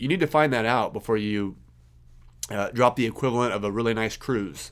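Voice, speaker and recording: Talking at a very fast pace, a man with a medium pitch and a slight Kansas accent is heard on a very clean recording with a silent background. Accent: slight Kansas twang. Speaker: podcast host, accountant. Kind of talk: casual podcast talk. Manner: many fillers and repetitions.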